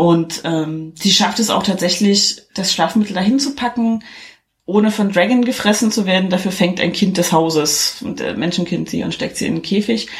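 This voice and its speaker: A woman speaks in a plain, everyday voice at a medium pitch. Her pace is moderate, with ordinary pitch variation. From eastern Germany. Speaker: podcaster. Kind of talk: plot summary; casual chat.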